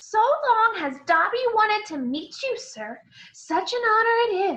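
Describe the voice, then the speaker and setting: A woman's put-on character voice, extremely high in pitch, at a fairly slow pace. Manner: nervous, eager, reverent.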